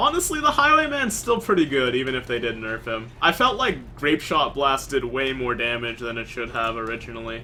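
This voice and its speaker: A man talking with hardly any pauses, music in the background. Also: fairly quick pace. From Canada. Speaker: video game streamer. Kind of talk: live gameplay commentary with chat. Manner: relaxed, calm.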